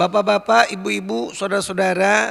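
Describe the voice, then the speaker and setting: In an animated tone, a man with a high pitch talks with ordinary pitch variation. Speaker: Islamic preacher. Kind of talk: sermon. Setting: mosque. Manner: animated, rhetorical questions to audience.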